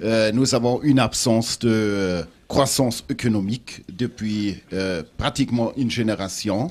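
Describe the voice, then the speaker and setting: A man with a German accent speaks at a fairly slow pace and medium pitch with ordinary pitch variation, on a very clean recording with a silent background. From Germany. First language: German (speaking French). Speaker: international organization official, former minister. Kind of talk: panel discussion. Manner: halting.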